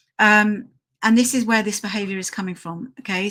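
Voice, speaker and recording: A woman with a British accent, medium in pitch, with a bright, sharp tone and fairly even intonation. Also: very clean recording, silent background. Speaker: dog trainer. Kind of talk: live stream tutorial. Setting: live stream with slides.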